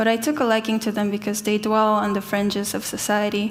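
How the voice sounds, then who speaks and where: There is audible room echo as a woman speaks in a fairly high pitch. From South Korea, Seoul. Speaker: artist. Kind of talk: conference talk.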